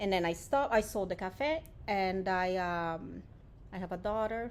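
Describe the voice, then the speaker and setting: A woman speaks in a Portuguese accent with ordinary pitch variation. The room echo is audible. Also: medium pitch for a woman, moderate pace. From Brazil, Japanese-Brazilian family. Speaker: nonprofit director. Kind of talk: interview. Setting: warehouse.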